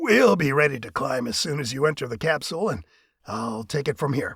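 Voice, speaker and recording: Raspy, put-on character voice from a man with lively intonation. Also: fairly high pitch for a man, fairly quick pace. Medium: read story. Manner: quick, eager to please.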